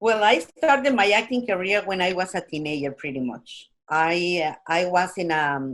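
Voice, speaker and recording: With a Spanish accent, a woman at medium pitch talks at a moderate pace with lively intonation and hardly any pauses. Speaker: actress. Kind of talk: casual interview.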